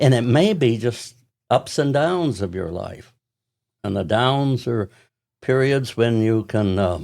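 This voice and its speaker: The delivery is very slow, broken by long, frequent pauses, and the intonation is lively. The recording is very clean, with a silent background. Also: man, medium pitch for a man. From North Carolina. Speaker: retired priest. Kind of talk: interview. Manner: halting.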